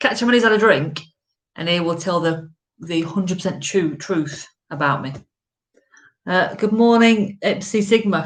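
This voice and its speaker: Speaking with an English accent at a moderate pace, this voice shows ordinary pitch variation and long, frequent pauses. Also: woman, medium pitch for a woman. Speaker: live-stream vlogger, golfer. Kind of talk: casual chat. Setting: home live stream. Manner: loud.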